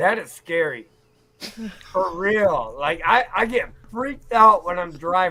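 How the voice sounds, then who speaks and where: Here a man uses a raised, projected voice at a high pitch. He goes at a fairly slow pace with ordinary pitch variation. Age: 40s. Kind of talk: casual chat.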